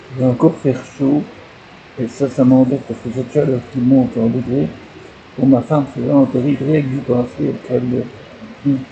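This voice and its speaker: Over noticeable background noise, a man speaks at medium pitch and moderate pace. His intonation is fairly even. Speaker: vlogger. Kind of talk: personal video diary. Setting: at home. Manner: whispering, speaking very quietly; halting, with many hesitations.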